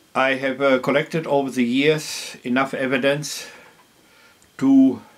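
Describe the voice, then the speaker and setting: At a fairly slow pace, someone speaks as noticeable background noise continues. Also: man, long, frequent pauses. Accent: German. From Germany. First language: German. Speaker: farmer. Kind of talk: interview. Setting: at his home. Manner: halting with frequent fillers.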